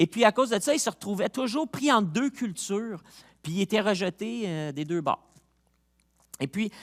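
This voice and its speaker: Recorded very cleanly against a silent background, with a dry, close sound and no echo, a man speaks at a moderate pace in a high voice that swings very widely in pitch. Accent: Montreal. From Quebec, Montreal. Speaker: pastor. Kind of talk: sermon. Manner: casual, halting with repetitions.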